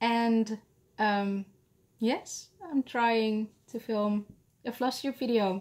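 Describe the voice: A woman with a Dutch accent speaks slowly at a fairly high pitch, with fairly even intonation and a slightly mellow tone.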